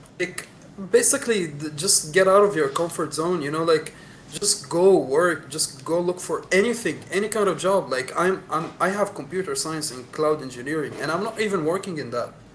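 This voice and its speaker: A man talks with a high pitch and ordinary pitch variation while noticeable background noise sits behind him. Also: moderate pace. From UAE, Sharjah and Dubai. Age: 20s. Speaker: podcast guest. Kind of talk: casual chat.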